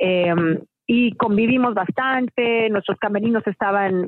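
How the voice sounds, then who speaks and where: Here is a woman with a normal speaking voice. She talks at a fairly slow pace with fairly even intonation. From Mexico. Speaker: musical theatre actress. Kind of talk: interview.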